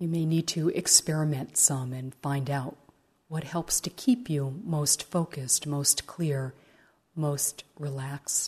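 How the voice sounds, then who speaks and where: A woman with a very deep, low pitch and a dark, mellow tone speaks at a very slow pace in a gentle, calm tone, somewhat breathy, against a quiet background. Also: ordinary pitch variation. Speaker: meditation teacher. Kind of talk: guided meditation. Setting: retreat center. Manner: slow, soft-spoken; gentle, calm, with long pauses.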